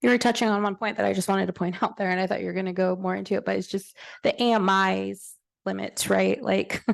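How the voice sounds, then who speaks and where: A woman talks at a moderate pace. Behind her, the background is quiet. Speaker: bank panelist. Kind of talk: panel discussion. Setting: conference room with audience.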